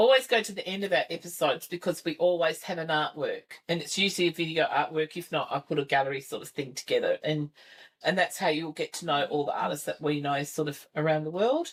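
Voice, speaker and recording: A woman with an Australian accent, fairly low-pitched, very fast, with ordinary pitch variation. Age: 60s. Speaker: podcast host. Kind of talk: casual chat. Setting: video recording with camera.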